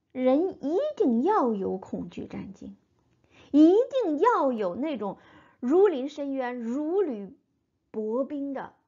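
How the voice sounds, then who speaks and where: Her pitch high and swinging very widely, a woman talks at a very slow pace with big swings in loudness and long, frequent pauses. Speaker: Bible teacher. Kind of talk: Bible reading and commentary.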